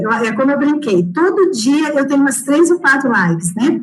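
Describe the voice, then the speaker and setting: A woman's high voice with very wide pitch swings at a moderate pace, amid audible room echo and noticeable background noise. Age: 40s. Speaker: education analyst, former teacher. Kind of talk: closing remarks in an online live talk. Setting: online live stream.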